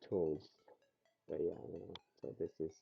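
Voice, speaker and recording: A man with a non-native accent speaks at a fairly slow pace. Music plays in the background. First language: not English. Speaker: CNC software tutorial creator. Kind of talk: tutorial. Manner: halting.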